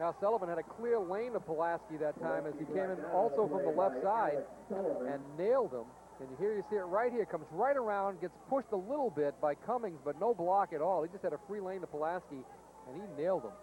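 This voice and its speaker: Against noticeable background noise, a man with an American accent talks at a fairly quick pace in a high pitch with lively intonation. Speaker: football color commentator. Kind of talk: live commentary. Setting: high school football stadium broadcast.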